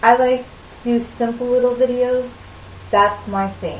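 A woman speaks at a moderate pace in a high pitch, with audible room echo and light background noise. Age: 30s. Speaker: video blogger. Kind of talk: casual monologue. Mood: earnest, mildly opinionated. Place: kitchen. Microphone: webcam.

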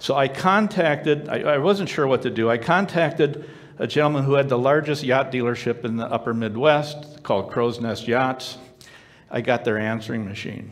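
A man's normal speaking voice at medium pitch, with ordinary pitch variation and a moderate pace. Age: 60s. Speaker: storyteller sharing personal testimony. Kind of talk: testimony. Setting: stage with audience. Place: stage.

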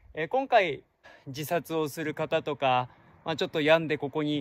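The sound is dry, without any echo. A man talks at a moderate pace. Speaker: travel vlogger. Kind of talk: casual vlog chat. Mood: calm, earnest, reflective. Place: forest. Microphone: phone near.

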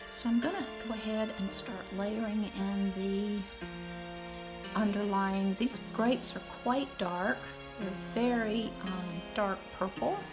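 Clear music plays in the background as a woman speaks at a fairly slow pace. She leaves long, frequent pauses. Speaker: watercolor teacher. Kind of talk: tutorial.

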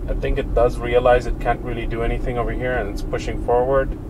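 Noticeable background noise sits behind a man talking at a fairly quick pace. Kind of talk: casual vlog commentary. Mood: mildly annoyed, then hopeful. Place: car. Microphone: camera far.

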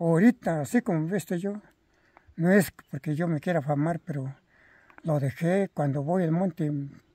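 With a dark, mellow tone and a high pitch, a man talks at a moderate pace with ordinary pitch variation in a dry, close sound with no echo. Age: 80s+. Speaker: elderly farmer. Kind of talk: interview storytelling. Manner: halting.

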